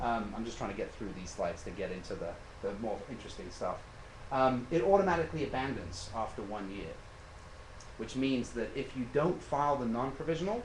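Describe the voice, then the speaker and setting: Recorded with audible room echo, a man at a medium pitch talks at a fairly quick pace with lively intonation. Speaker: patent attorney giving a talk. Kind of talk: lecture. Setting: meeting with audience, live stream. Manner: fast.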